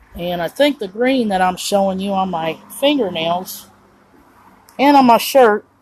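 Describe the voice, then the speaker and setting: Her intonation lively, a woman speaks at a fairly slow pace, leaving long, frequent pauses. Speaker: vlogger. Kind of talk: casual livestream chat. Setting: outdoors on a porch. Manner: rambling, conversational; kept low.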